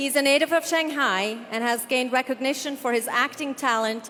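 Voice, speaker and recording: Noticeable background noise and a moderate pace. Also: woman. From Canada. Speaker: event hostess. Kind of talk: event hosting. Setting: stage with audience. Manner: animated.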